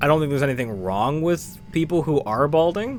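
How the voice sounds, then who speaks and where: A man speaks at a fairly high pitch with lively intonation. Noticeable background noise is present. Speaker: gaming streamer. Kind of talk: live stream chat while gaming. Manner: soft-spoken; quiet.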